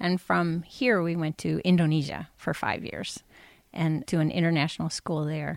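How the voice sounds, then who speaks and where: On a very clean recording with a silent background and a dry, close sound with no echo, a woman with an American accent speaks at a moderate pace and a fairly low pitch with ordinary pitch variation, in a plain, everyday voice. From California. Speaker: missionary. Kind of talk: casual interview.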